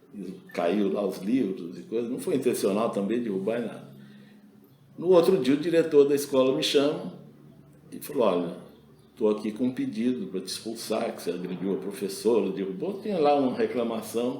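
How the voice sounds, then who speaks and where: Audible room echo surrounds a man's medium-pitched voice. He speaks at a moderate pace with lively intonation. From Brazil. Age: 70s. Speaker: retired school administrator and engineer. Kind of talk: interview, personal anecdotes. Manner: conversational with self-repetitions.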